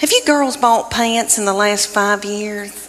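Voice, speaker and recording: Noticeable background noise surrounds a woman speaking with a Southern US accent. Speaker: stand-up comedian. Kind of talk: stand-up comedy routine.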